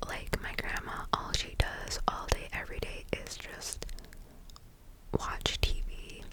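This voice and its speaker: The speech is whispered at a very slow pace. Noticeable background noise is present. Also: woman. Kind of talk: whisper ramble, casual talk to camera. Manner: whispered, soft-spoken.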